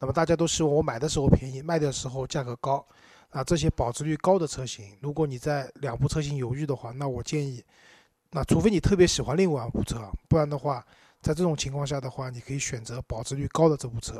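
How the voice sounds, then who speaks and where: Very fast and somewhat breathy, a man talks with a fairly high pitch, a dark, mellow tone and ordinary pitch variation in a dry, close sound with no echo. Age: 30s. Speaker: podcast co-host about cars. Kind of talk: casual chat.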